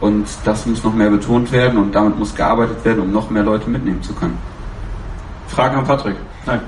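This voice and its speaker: Long, frequent pauses break up a man's fairly quick speech, his pitch fairly low and his intonation fairly even, with audible room echo and noticeable background noise. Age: 20s. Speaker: ultras fan, fan council candidate. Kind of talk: panel discussion.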